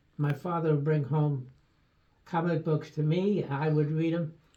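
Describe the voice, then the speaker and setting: A man with an American accent speaks at a fairly high pitch and a fairly slow pace, somewhat breathy, with a dark, mellow tone and fairly even intonation. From New York City, Brooklyn. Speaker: retired doctor. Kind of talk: interview. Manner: halting.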